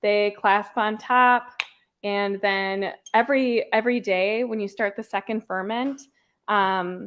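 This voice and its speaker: A woman with an American accent speaks at a very slow pace. Her fairly high pitch keeps fairly even intonation. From Minnesota, upper Midwest US. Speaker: podcast host. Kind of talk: casual livestream tutorial. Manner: casual, filler-heavy.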